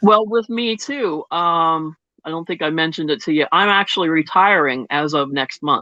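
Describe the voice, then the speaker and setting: With a fairly low pitch, a woman talks at a moderate pace in an unremarkable speaking voice. Her intonation is lively. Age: 60s. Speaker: Reiki practitioner. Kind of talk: casual chat.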